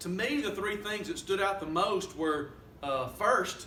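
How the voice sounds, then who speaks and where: In a Southern US accent, a man speaks very slowly in a raised, projected voice, pitched high with lively intonation, and audible room echo is present. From US South. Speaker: student reviewer. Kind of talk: spoken peer review of a paper. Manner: halting, many fillers.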